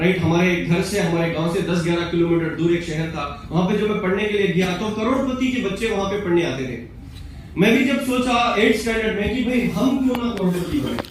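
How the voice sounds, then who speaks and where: A man's high-pitched, animated voice amid noticeable background noise and audible room echo. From Ballari, Karnataka, South India. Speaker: motivational speaker at business event. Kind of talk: motivational talk to seminar audience. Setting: stage with live audience. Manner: animated, engaging audience with questions.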